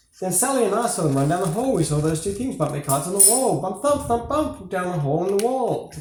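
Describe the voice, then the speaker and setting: A man with a high pitch talks at a very fast pace, his pitch swinging very widely over noticeable background noise. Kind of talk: children's story reading.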